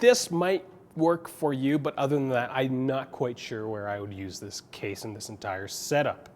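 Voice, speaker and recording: A man's plain, everyday voice at medium pitch, with lively intonation, big swings in loudness, and a moderate pace. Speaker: tech reviewer. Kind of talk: product review.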